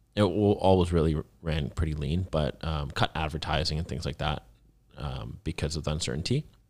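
Very deep, low male speech with vocal fry, at a fairly quick pace with ordinary pitch variation, in a very clean recording with a silent background. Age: 20s. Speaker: entrepreneur. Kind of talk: interview. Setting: studio. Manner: articulate.

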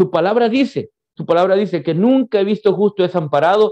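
A man's high-pitched voice with a dark, mellow tone, lively intonation and a fairly quick pace, recorded dry and close with no echo. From El Salvador, San Vicente. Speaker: pastor. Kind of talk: testimony. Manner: halting.

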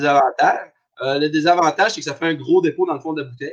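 This man has an unremarkable speaking voice, fairly high in pitch with ordinary pitch variation. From Abitibi, northern Quebec. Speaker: craft brewer. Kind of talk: casual chat.

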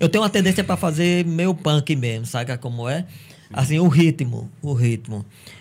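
Somewhat breathy and fairly high in pitch, a man speaks at a moderate pace with lively intonation, in a very clean recording over a silent background. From Brazil, Paraíba (Cajazeiras). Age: 50s. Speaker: teacher and musician. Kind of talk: casual chat.

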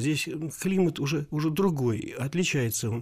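Very wide swings in pitch from a male speaker, delivered at a moderate pace. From Lower Volga, Volgograd. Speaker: writer and architect. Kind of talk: radio interview.

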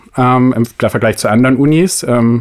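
A man with a plain, everyday voice speaks at a medium pitch, recorded with a dry, close sound and no echo. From northern Germany, Oldenburg. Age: 20s. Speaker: master's student. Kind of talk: casual chat.

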